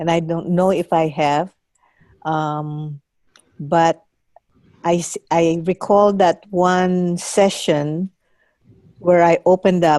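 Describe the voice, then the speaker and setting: At a very slow pace with long, frequent pauses, a woman speaks in a fairly low, dark, mellow tone with monotone, flat intonation and a dry, close sound with no echo. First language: not English. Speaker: course participant. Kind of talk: group discussion. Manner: halting.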